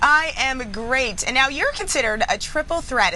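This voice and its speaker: A woman talks in a raised, projected voice at a moderate pace, with noticeable background noise behind her. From US, New York. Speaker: TV news interviewer. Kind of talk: interview.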